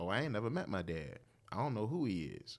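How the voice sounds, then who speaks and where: Lively intonation marks a man's normal speaking voice, fairly low in pitch, with an American accent. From Portsmouth, Virginia. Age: 40s. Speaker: father and former church minister of music. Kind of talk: casual chat.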